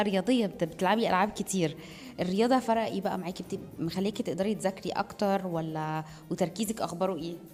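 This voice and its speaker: A woman's animated, medium-pitched voice at a fairly quick pace, with ordinary pitch variation. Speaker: children's TV presenter. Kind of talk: interviewing children on a TV show. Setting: TV shoot at a sports academy.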